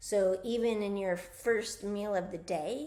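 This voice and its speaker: A woman speaks at a medium pitch with ordinary pitch variation. Room echo is audible. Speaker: physical therapist and wellness coach. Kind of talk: casual talk-to-camera health advice. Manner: casual, with fillers.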